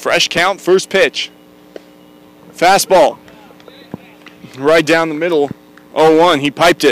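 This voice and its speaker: Loud and high-pitched, a man speaks at a very slow pace with long, frequent pauses, in a dry, close sound with no echo and noticeable background noise. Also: fairly even intonation. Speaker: play-by-play announcer. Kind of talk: live commentary.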